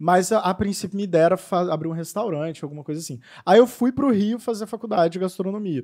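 Talking very fast, a man with a high pitch and a dark, mellow tone shows ordinary pitch variation and big swings in loudness. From Minas Gerais, Brazil. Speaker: confectioner and business owner. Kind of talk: casual interview.

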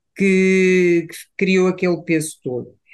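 A woman speaks at a very slow pace. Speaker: psychologist. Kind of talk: casual chat.

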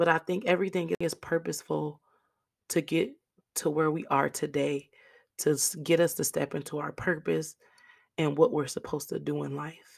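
The speaker moves at a moderate pace with an animated tone, vocal fry, ordinary pitch variation and long, frequent pauses, on a very clean recording with a silent background. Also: woman, very deep, low pitch for a woman. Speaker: podcast host. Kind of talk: casual monologue on faith and forgiveness. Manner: animated, conversational.

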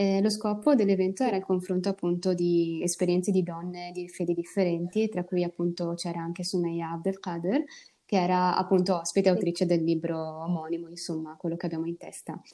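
Speaking at a fairly quick pace, a woman with a fairly low pitch and a dark, mellow tone keeps her intonation fairly even in a very clean recording with a silent background. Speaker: podcast host. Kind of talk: interview.

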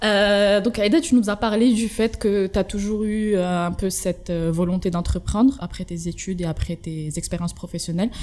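A woman's ordinary speaking voice, medium in pitch, with ordinary pitch variation at a moderate pace. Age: 20s. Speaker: podcast host. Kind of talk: casual interview.

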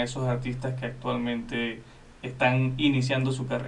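A man with a medium pitch speaks in a monotone, flat intonation, with audible room echo and noticeable background noise. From Venezuela. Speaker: radio co-host. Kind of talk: radio interview.

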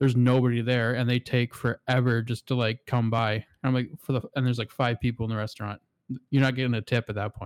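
In a very clean recording with a silent background and a dry, close sound with no echo, a voice with a Canadian accent runs very fast in a monotone, flat intonation. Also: man, medium pitch for a man. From Canada. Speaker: podcast co-host. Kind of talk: casual chat.

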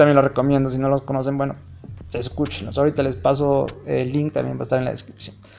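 A man at a medium pitch and very fast pace, music in the background. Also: ordinary pitch variation. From Mexico, Hidalgo. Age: 30s. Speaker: podcaster. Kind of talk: casual monologue. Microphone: phone recording.

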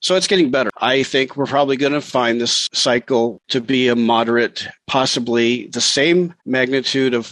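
At a moderate pace, a man speaks in an ordinary speaking voice at medium pitch. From Montana, US Pacific Northwest. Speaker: ham radio operator and space weather columnist. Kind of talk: interview.

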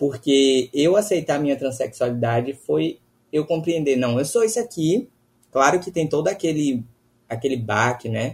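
A man talks at a moderate pace in a fairly high, somewhat breathy voice with lively intonation. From Bahia, Brazil. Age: 20s. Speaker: law student. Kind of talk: casual chat.

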